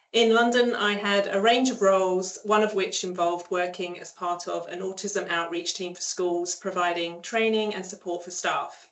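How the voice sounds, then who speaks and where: A woman speaks at medium pitch and a moderate pace, with hardly any pauses, fairly even intonation and big swings in loudness. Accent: English. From England. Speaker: speech pathologist. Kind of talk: online seminar presentation. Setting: online seminar.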